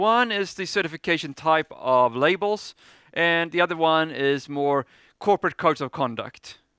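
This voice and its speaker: Bright, sharp in tone and lively in intonation, the voice sounds dry and close with no echo on a very clean recording with a silent background. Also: man. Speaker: business school professor. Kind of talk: conference presentation. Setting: stage with audience. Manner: fast.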